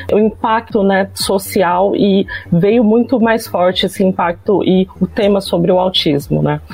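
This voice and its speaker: A woman with a medium-pitched voice speaks against noticeable background noise. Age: 30s. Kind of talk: casual chat.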